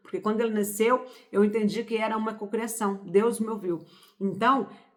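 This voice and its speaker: A woman's medium-pitched voice, fairly even in intonation, over noticeable background noise. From Brazil, Pará, rural interior. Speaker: spiritual self-help youtuber. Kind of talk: motivational talk. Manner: informal, conversational.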